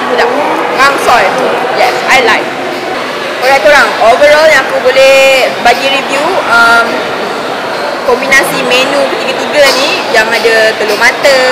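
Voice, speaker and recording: A woman's voice against loud background noise. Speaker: food reviewer. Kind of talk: casual vlog chat. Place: cafe. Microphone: camera far.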